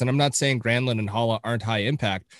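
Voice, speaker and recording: With a Canadian accent, an ordinary speaking voice comes through a very clean recording with a silent background, fairly even intonation and a dry, close sound with no echo. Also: man. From Canada. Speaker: hockey podcast co-host. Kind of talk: casual chat.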